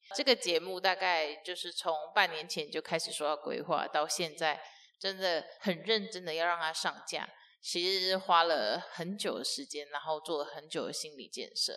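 A woman with an unremarkable speaking voice talks at a moderate pace in a fairly low pitch, her pitch varying in an ordinary way against a quiet background. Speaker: podcast host and entrepreneur. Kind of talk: casual solo podcast monologue. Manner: chatty with frequent fillers.

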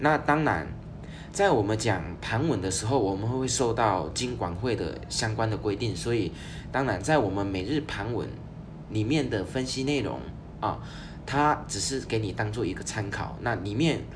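Audible room echo surrounds a man's fairly low voice. He speaks at a moderate pace with lively intonation. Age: 30s. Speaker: finance podcast host. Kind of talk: solo podcast monologue. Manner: casual with frequent fillers.

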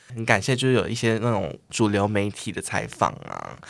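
Recorded very cleanly against a silent background, a man with a fairly low pitch and vocal fry speaks at a moderate pace with ordinary pitch variation. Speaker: drag queen. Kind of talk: casual chat.

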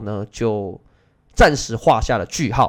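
In a Taiwanese accent, a man speaks very slowly with ordinary pitch variation. The recording is very clean, with a silent background. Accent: Taiwanese Mandarin. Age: 30s. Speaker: Go teacher and podcast host. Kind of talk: casual personal monologue.

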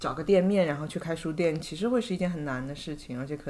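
A woman with a very deep, low pitch, a very fast pace and lively intonation, plus audible room echo. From China, Hangzhou. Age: 30s. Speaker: bookstore owner. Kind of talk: casual chat.

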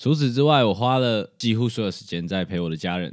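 A man speaks with ordinary pitch variation. The recording is very clean, the background silent. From Taiwan. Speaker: podcast host. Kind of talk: solo podcast monologue. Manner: casual.

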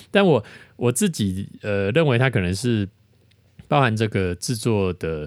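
Lively intonation broken by long, frequent pauses, on a very clean recording with a silent background. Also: man, fairly low pitch for a man. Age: 40s. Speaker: podcast host, lyricist and lyric-writing teacher. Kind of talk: lyric analysis monologue. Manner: filler-heavy, many particles like 哈 and 哦.

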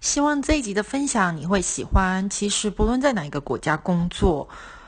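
Speaking at a moderate pace over a quiet background, a woman has a somewhat breathy, medium-pitched voice with very wide pitch swings. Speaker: podcast host. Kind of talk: casual chat.

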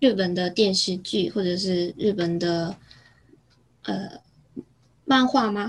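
Somewhat breathy, a woman with a Korean accent speaks at a very slow pace. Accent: Korean-accented Mandarin. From South Korea, near Busan. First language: Korean (speaking Chinese). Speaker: former exchange student. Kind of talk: casual interview. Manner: halting, many fillers.

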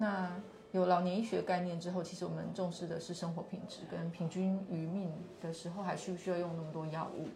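The woman's pitch is fairly low and her intonation monotone and flat, at a fairly quick pace. Room echo is audible, along with noticeable background noise. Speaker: physician, neurology and geriatric medicine. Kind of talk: on-site interview, explaining her clinic. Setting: live stream on location at a clinic.

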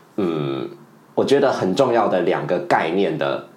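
A man at a fairly slow pace, very wide pitch swings, and audible room echo. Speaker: podcast co-host and teacher. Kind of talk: casual chat.

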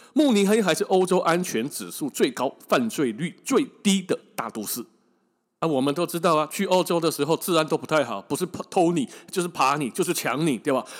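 A man talks fairly quickly, his high voice rising and falling with lively intonation. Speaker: travel podcast host, former tour leader. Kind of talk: casual storytelling monologue. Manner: slightly labored speech.

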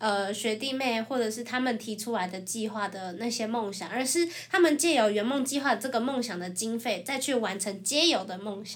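Over noticeable background noise, a woman speaks at a moderate pace in a fairly high pitch, with ordinary pitch variation and hardly any pauses. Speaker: former student program organizer. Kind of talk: casual chat.

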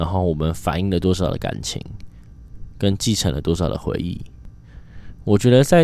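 Speaking in a Taiwanese accent, a man has a very deep, low pitch. His intonation is lively. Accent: Taiwanese Mandarin. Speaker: podcast host. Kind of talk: casual solo monologue.

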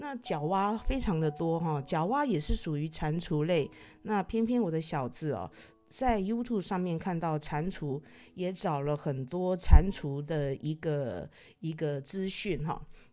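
A woman speaks fairly slowly, her pitch fairly low and her tone dark and mellow. Her intonation is lively. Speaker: podcast host. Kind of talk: casual monologue. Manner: hesitant, many filler particles.

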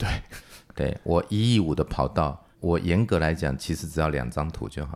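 Very deep and low, the man's voice carries vocal fry. The recording is very clean, with a silent background. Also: ordinary pitch variation, moderate pace. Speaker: engineering consultancy founder. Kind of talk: casual interview.

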